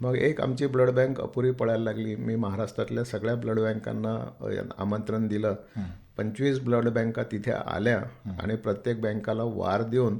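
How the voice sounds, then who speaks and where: A man talks at a medium pitch in a dark, mellow tone. His intonation is monotone and flat. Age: 60s. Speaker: temple trust chairman and builder. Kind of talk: radio interview.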